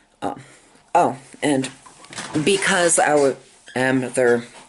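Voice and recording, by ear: A slightly husky edge with vocal fry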